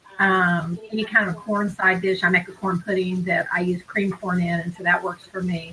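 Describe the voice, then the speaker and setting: With hardly any pauses, a woman speaks at a moderate pace in a monotone, flat way over noticeable background noise. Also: medium pitch for a woman. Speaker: couponing video co-host. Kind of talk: casual live-stream chat. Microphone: mic picks up echo if loud.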